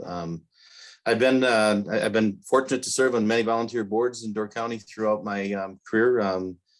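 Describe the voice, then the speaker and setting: With an American accent, a man talks at a moderate pace and ordinary pitch variation, recorded very cleanly against a silent background. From northeast Wisconsin, US. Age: 60s. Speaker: election candidate. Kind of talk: candidate forum opening statement. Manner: halting, many fillers.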